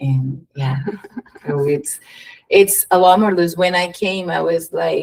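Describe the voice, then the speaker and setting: With a Brazilian accent, a woman speaks at a very slow pace, somewhat breathy, with fairly even intonation. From Curitiba, Brazil. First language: Portuguese. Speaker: behavioral therapist, DJ, world traveler. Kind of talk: podcast interview answer.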